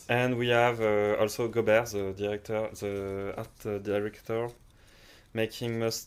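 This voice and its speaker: Speaking at a fairly slow pace, this voice has a French accent and a monotone, flat intonation. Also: man. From France. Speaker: game studio co-founder and game designer. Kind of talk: casual Q&A chat. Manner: halting, many fillers.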